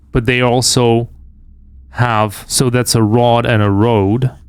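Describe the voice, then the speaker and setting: In a non-native accent, a man speaks very slowly at a medium pitch. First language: not English. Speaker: game streamer. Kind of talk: live gameplay commentary. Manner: halting.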